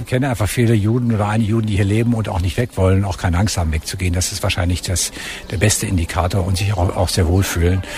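Noticeable background noise behind a fairly low male voice with ordinary pitch variation. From Germany. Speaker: ambassador. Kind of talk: interview.

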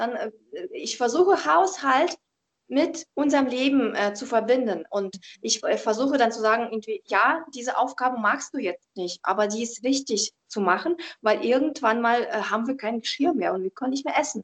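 A woman with a Russian accent, high in pitch, at a moderate pace, with a dry, close sound and no echo. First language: Russian (speaking German). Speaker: professional organizer and tidying coach. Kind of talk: interview. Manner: calm, reserved.

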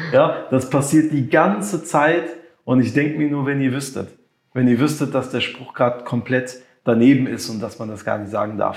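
A somewhat breathy man speaks at a medium pitch and moderate pace with ordinary pitch variation, and the room echo is audible. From Germany (raised from infancy, Moroccan family; Limburg area). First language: French and Moroccan Arabic (speaking German). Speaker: music producer and creative entrepreneur. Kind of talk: interview.

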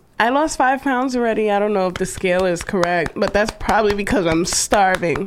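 Over noticeable background noise, a woman at medium pitch talks at a fairly quick pace with lively intonation, very even loudness and hardly any pauses. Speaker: podcast co-host. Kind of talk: casual chat.

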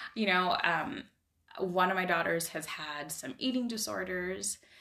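A woman with an American accent and a normal speaking voice at a moderate pace. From Idaho. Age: 40s. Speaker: life coaching client. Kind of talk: casual interview. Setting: in person.

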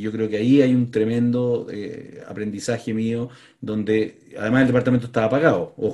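At a fairly quick pace, a man speaks in a monotone, flat delivery with a dark, mellow tone at medium pitch. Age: 50s. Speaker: tech entrepreneur. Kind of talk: interview.

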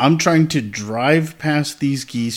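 A man speaks at a fairly slow pace in a plain, everyday voice. His pitch varies in an ordinary way. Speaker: podcast co-host. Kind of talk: casual chat.

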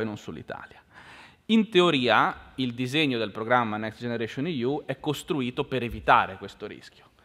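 A man with a plain, everyday voice speaks at a fairly quick pace, with medium pitch and ordinary pitch variation. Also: big swings in loudness. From Genoa, Liguria. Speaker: think tank research director. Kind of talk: panel discussion. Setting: lecture hall with audience.

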